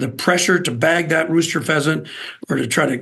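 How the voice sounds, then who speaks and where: An ordinary speaking voice with an American accent, at a moderate pace. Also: man. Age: 60s. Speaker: outdoors TV host and wildlife agency spokesman. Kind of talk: casual interview.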